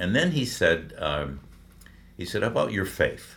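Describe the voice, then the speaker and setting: A man with an American accent speaks at a moderate pace with vocal fry, and the room echo is audible. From Michigan, Detroit. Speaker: veteran radio broadcaster. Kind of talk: interview storytelling, faith testimony.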